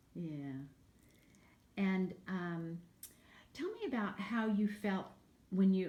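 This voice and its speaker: Somewhat breathy, a woman speaks at a very slow pace with long, frequent pauses, a dark, mellow tone, medium pitch and ordinary pitch variation. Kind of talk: interviewer questions.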